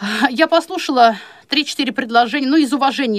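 A woman talks at a fairly quick pace. Her voice is high, with lively intonation. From Chuvashia, Russia. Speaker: blind law lecturer. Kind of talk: radio interview.

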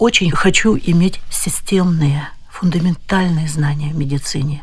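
Somewhat breathy, a woman talks at a fairly slow pace with a fairly low pitch. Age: 70s. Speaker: visually impaired doctor. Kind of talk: interview.

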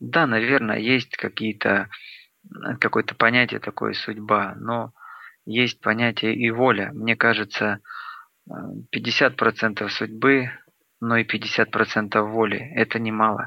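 A man speaks at a very slow pace and a medium pitch, leaving long, frequent pauses. His intonation stays monotone and flat. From Luhansk, eastern Ukraine. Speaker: singer-songwriter. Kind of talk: interview.

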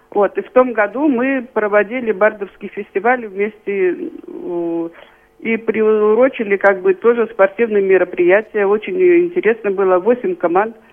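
Noticeable background noise sits behind a woman's fairly high voice. She speaks at a fairly slow pace, with lively intonation and big swings in loudness. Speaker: local group organizer. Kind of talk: radio interview.

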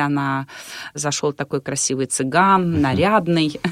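A woman speaks at a very slow pace with ordinary pitch variation, the sound dry and close with no echo. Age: middle-aged. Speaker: wedding and event host. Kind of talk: interview.

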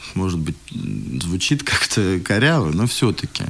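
Over noticeable background noise, a man with a very deep, low pitch talks at a moderate pace with lively intonation. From Moscow, Russia. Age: 30s. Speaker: school director. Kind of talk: interview.

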